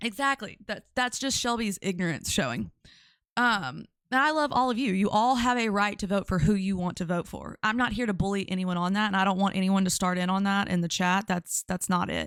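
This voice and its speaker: A woman speaks at a fairly quick pace with a Louisiana accent. The recording is very clean, with a silent background. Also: medium pitch for a woman, ordinary pitch variation. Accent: Louisiana Southern. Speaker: live-stream commentary streamer. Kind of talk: casual live-stream chat. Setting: live stream.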